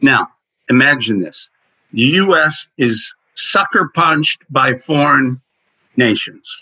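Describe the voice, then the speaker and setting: A man with an American accent speaks at a very slow pace, with long, frequent pauses, a fairly high pitch and vocal fry. His intonation is lively, and the background is quiet. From US Midwest, northern Indiana. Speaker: retired intelligence analyst. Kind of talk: interview. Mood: earnest, indignant. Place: home room. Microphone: video call.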